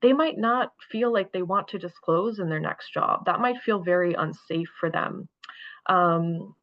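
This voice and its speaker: At a moderate pace, a woman speaks in an ordinary speaking voice of medium pitch, with ordinary pitch variation. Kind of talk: presentation.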